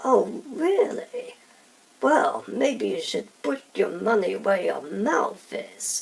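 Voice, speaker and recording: A raspy, put-on character voice delivers its lines at a very slow pace. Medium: machinima. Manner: breezy, playful.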